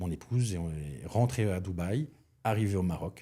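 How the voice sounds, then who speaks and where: A man with a Belgian accent, a very deep, low pitch and a dark, mellow tone, ordinary pitch variation at a fairly slow pace, in a very clean recording with a silent background. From Belgium. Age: 50s. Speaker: chef and restaurant consultant. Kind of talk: podcast interview. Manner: hesitant, many fillers.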